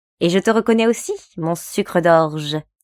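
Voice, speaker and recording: In a put-on character voice, a woman speaks sing-song at a fairly low pitch and a moderate pace. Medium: read story. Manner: singsong, teasing.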